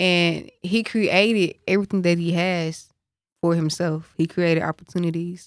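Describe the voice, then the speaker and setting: At a moderate pace, a woman talks in a fairly low pitch with monotone, flat intonation and very even loudness. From Dallas, Texas. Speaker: singer and songwriter. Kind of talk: casual chat.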